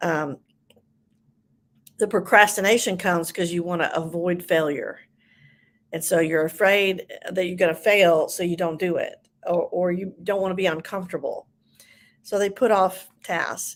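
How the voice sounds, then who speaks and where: A woman with a medium pitch speaks at a moderate pace in fairly even intonation, leaving long, frequent pauses. The recording is very clean, with a silent background. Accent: Southern US. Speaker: ADHD coach. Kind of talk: livestream talk. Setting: live video stream. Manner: hesitant, many fillers.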